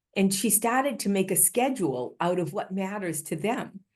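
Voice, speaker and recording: The background is quiet as a woman talks at a moderate pace. Her pitch sits in the middle range, and her intonation is lively. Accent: Boston. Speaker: healthcare improvement leader, keynote speaker. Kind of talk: conference keynote talk.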